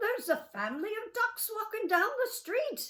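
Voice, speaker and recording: Someone performs a put-on character voice with lively intonation at a moderate pace. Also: woman. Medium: read story.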